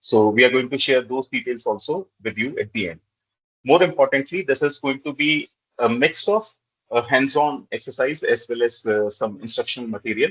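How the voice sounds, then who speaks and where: A man with a fairly high pitch talks at a moderate pace, his intonation lively. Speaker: corporate trainer. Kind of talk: webinar presentation. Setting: video call. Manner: hesitant, frequent filler 'uh'.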